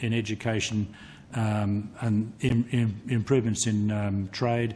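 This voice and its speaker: A man's somewhat breathy, medium-pitched voice at a fairly slow pace. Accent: Australian. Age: 60s. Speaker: retired telecommunications engineer. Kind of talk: parliamentary committee testimony. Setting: committee hearing room. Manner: halting, many repetitions.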